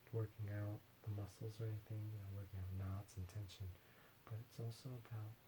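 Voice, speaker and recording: A soft-spoken man whispers. Noticeable background noise runs behind him. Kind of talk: ASMR massage. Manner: soft-spoken, whispered.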